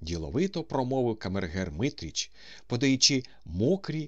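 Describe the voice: Text delivered as plain reading aloud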